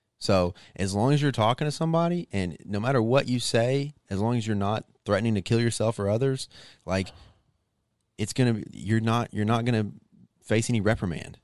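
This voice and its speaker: A man with an American accent, an unremarkable speaking voice, medium pitch and ordinary pitch variation, at a fairly quick pace against a quiet background. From Arkansas, US South. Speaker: comedian and Air Force airman. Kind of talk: casual chat.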